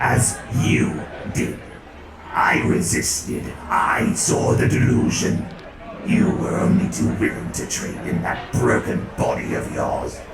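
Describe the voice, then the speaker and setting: A put-on character voice moves at a fairly slow pace, with a slight echo and loud background noise. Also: man. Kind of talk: dramatic reading. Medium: audio drama. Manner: sardonic, superior.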